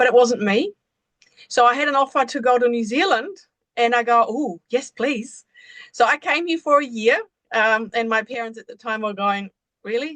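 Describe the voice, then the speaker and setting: Speaking at a moderate pace, a woman uses a high pitch and lively intonation, the sound dry and close with no echo. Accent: German. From Germany, rural village. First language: German. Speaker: embodiment coach. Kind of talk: podcast interview.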